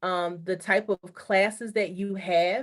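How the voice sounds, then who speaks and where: Her voice sits at a medium pitch, a normal speaking voice from a woman. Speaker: high school college and career counselor. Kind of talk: online information session presentation.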